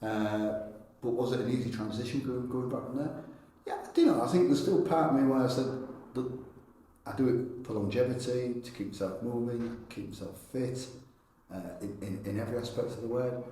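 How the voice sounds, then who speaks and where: Speaking fairly quickly with long, frequent pauses, a man's medium-pitched voice carries ordinary pitch variation over an audible room echo. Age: 50s. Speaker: personal trainer. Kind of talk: podcast interview. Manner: halting, many repeated words.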